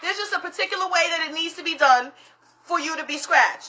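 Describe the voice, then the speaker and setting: Raised and projected, a woman's voice comes out extremely high-pitched, bright and sharp, with an animated tone, ordinary pitch variation and a very fast pace. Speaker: live stream host, spiritual practitioner. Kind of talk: casual live stream chat. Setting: live social media stream. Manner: loud.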